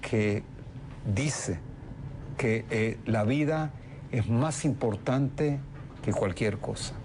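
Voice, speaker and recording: Here a man talks at a very slow pace. His pitch is medium, with ordinary pitch variation. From Argentina. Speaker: politician. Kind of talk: TV interview.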